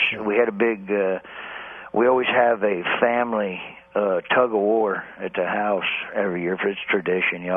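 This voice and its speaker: A man speaks at a moderate pace in a fairly low voice with ordinary pitch variation. Noticeable background noise runs underneath. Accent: American. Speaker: stand-up comedian. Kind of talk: comedic radio interview banter.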